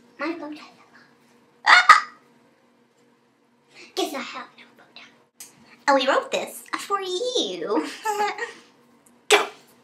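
An extremely high, cartoonish character voice moves at a very slow pace with long, frequent pauses. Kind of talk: puppet skit vlog. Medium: puppet. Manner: loud, yelling.

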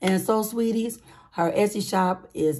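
A woman speaks with a dark, mellow tone. Her pitch variation is ordinary. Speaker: budgeting YouTuber. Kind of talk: casual vlog with saving challenge game. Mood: warm, upbeat.

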